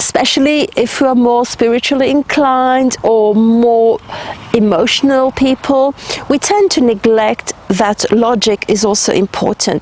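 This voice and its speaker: Speaking at a fairly slow pace, a woman with a high pitch and ordinary pitch variation comes through in a dry, close sound with no echo, with noticeable background noise behind her. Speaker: spiritual healer and guide. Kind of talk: advice monologue to camera. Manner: conversational, with fillers.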